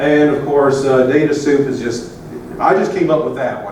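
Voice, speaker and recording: The speaker has an American accent and keeps a moderate pace. Audible room echo and noticeable background noise fill the recording. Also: man. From US South. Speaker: advocate and presenter. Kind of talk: conference presentation. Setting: conference room with audience. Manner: casual, hesitant with many fillers.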